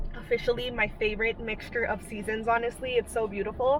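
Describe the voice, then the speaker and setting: A woman talks fairly quickly, her intonation fairly even, while noticeable background noise is heard. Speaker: vlogger. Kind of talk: casual vlog chat. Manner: chatty, many fillers.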